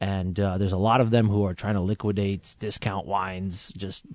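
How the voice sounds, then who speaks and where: A man speaks fairly quickly in an ordinary speaking voice with fairly low pitch. The sound is dry and close, with no echo. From Vancouver, Washington, US (born in Iran). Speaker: sommelier and online wine retailer. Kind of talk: casual radio interview. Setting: radio studio.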